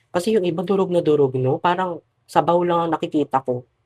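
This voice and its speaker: At a fairly quick pace, a woman speaks with fairly even intonation in a dry, close sound with no echo. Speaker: vlogger. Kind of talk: casual vlog talk to camera.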